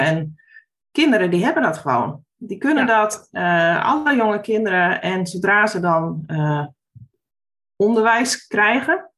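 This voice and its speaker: A woman with a plain, everyday voice, a medium pitch and lively intonation at a fairly slow pace. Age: 40s. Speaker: former primary school teacher, education initiative founder. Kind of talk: casual interview conversation.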